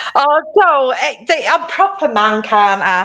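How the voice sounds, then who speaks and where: A woman with a Manchester accent speaks in a bright, sharp tone with very wide pitch swings. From Manchester, England. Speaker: crafter and former teacher. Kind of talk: casual chat. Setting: live stream.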